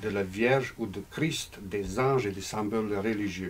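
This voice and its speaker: Speaking fairly slowly with a non-native accent, a man shows ordinary pitch variation. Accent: foreign. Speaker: novelist. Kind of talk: reading aloud; casual talk. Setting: bookshop with audience. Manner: halting.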